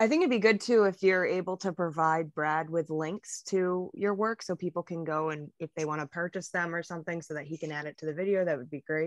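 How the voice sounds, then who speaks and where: A woman speaks in an ordinary speaking voice at a fairly low pitch and a fairly quick pace, with ordinary pitch variation and hardly any pauses, the sound dry with no echo over a quiet background. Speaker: podcast co-host. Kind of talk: casual interview chat. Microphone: video call.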